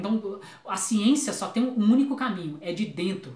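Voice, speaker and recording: A man is speaking. His voice sits high in pitch. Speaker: YouTuber, philosophy commentator. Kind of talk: video commentary monologue. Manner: fast; halting, with stammers and restarts.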